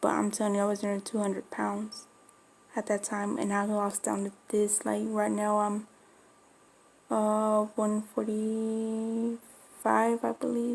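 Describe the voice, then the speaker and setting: A woman with an American accent at a fairly slow pace, her intonation monotone and flat, with long, frequent pauses. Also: medium pitch for a woman. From Florida, Spanish-speaking home. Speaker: dog breeder vlogger. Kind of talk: casual chat.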